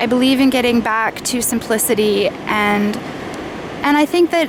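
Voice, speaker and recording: Over noticeable background noise and audible room echo, a woman speaks with ordinary pitch variation. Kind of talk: casual unscripted vlog monologue. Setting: outdoors on a beach.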